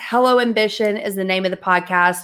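A woman with a Southern US accent, bright, sharp and animated in tone, at a moderate pace, in a very clean recording with a silent background. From US South. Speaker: entrepreneur and coach. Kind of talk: casual interview chat.

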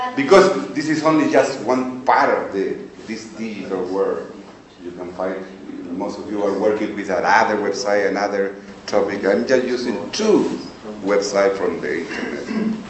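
Amid noticeable background noise and audible room echo, a man with a Spanish accent speaks at a moderate pace. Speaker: English teacher and podcaster. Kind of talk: presentation to a workshop panel.

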